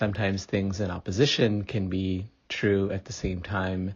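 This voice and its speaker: The intonation is monotone and flat. Delivery comes at a fairly slow pace. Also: man. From India, moved to US at nine. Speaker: author. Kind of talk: interview.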